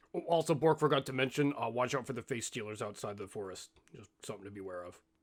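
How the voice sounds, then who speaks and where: Putting on a raspy character voice, a man rattles along at a very fast pace with a medium pitch. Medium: actual play. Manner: refers to himself in third person, rambling.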